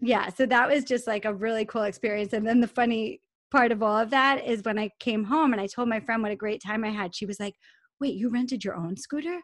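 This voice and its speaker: A woman with a normal speaking voice and a fairly high pitch talks at a fairly quick pace in an American accent. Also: ordinary pitch variation. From Long Island, New York. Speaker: podcast host, personal development. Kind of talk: casual interview chat; guided meditation.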